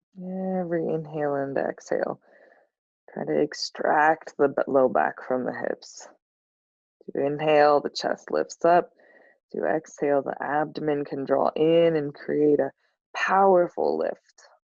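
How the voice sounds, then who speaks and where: A soft-spoken woman at a fairly slow pace. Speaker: yoga teacher. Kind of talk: guided yoga class instruction. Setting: live stream.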